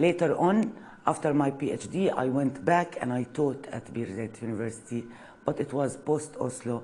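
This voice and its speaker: A woman speaks with an Arabic accent at a moderate pace, her pitch varying in an ordinary way. Audible echo fills the room. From Palestine, village near Nablus. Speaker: university lecturer. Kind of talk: lecture. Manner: halting, many fillers.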